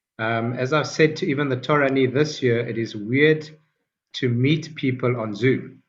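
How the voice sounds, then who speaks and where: Somewhat breathy, a man at a medium pitch speaks at a moderate pace with fairly even intonation. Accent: strong South African. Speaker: rabbi and Torah teacher. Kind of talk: online Torah class. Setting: video call. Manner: hesitant, many fillers.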